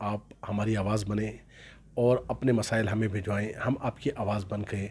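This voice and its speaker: The man's delivery stays fairly slow. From Pakistan. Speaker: YouTube channel host. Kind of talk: scripted monologue; interview. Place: home room. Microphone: handheld.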